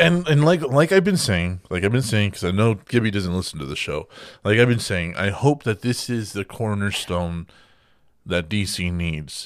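An animated voice at a moderate pace with very wide pitch swings, in a very clean recording with a silent background. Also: man, fairly low pitch for a man. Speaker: gaming podcast host. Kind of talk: casual chat; news reading.

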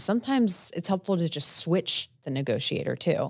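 This woman speaks with a New Jersey accent. The recording is very clean, with a silent background. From New Jersey, Italian-American. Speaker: business broker podcast co-host. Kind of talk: casual chat. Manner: fast, loud.

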